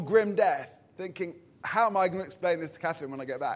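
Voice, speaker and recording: A man with a southern English accent speaks at a high pitch. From southern England, Purley, Surrey. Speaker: pastor. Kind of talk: sermon.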